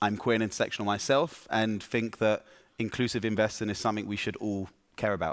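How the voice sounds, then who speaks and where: With a London accent, a man speaks at a fairly low pitch and fairly even intonation in a very clean recording with a silent background. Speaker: investor, startup founder. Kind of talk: panel discussion.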